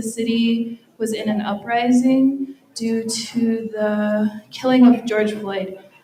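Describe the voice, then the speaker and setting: A woman with an American accent, fairly high in pitch and fairly even in intonation, with audible room echo. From Red Wing, Minnesota. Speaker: photojournalist. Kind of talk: panel talk.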